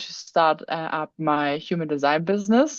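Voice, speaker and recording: A woman speaks at a moderate pace in a fairly low voice, with ordinary variation in pitch. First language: not English. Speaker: workshop participant, human design reader. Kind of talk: casual chat. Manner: halting.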